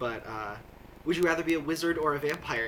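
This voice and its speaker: A man with an American accent, fairly high pitch, ordinary pitch variation and a fairly quick pace. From US Midwest (Nebraska, Iowa). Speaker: video blogger. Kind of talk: casual monologue answering a word-list questionnaire. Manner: many fillers (uh, um), casual.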